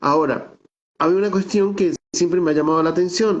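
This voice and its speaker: A man keeps a fairly quick pace, his pitch varying in an ordinary way. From Venezuelan Andes, San Cristóbal (Táchira). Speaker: theatre director and researcher. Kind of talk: virtual talk / interview. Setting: video call. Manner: conversational, with hesitations.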